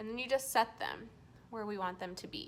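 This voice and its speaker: With a raised, projected voice, a woman calls out. Her tone is bright and sharp. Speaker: beauty vlogger. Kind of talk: tutorial. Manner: slow.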